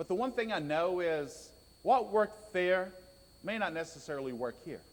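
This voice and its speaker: This is a man speaking with a Southern US accent. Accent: Southern drawl. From US South (raised in Georgia). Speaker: preacher. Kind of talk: sermon.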